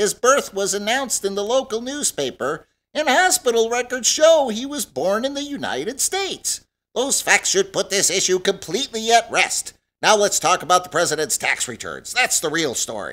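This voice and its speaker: In a very clean recording with a silent background, a man uses a put-on character voice, high in pitch, at a moderate pace. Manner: indignant, increasingly angry.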